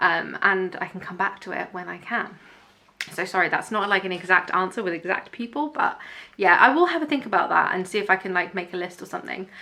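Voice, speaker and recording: This very fast speaker has a British accent and ordinary pitch variation. Loudness swings widely over noticeable background noise. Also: woman, medium pitch for a woman. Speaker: YouTuber. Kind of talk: casual Q&A chat. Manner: animated.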